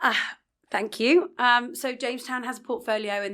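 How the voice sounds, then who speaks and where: Captured on a very clean recording with a silent background, a woman speaks with a London accent. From England, London. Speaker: retail leasing director. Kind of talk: podcast interview. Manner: hesitant, many fillers.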